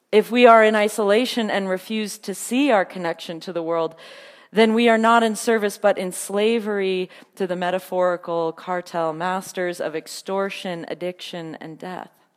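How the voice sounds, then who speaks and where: A woman has an ordinary speaking voice at a medium pitch, delivered at a moderate pace with fairly even intonation. Her loudness takes big swings. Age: 30s. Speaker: preacher. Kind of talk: sermon.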